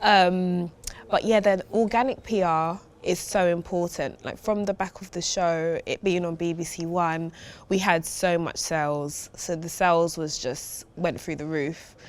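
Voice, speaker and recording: A woman with a strong East London accent speaks at a fairly slow pace, her fairly low pitch held in a fairly even intonation. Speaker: food brand founder. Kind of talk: podcast interview.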